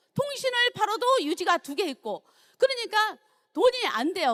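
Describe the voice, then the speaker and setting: A woman speaks at a moderate pace with an extremely high pitch and very wide pitch swings. Her tone is bright and sharp, and the sound is dry and close with no echo. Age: 60s. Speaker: network marketing leader. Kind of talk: testimony speech at seminar.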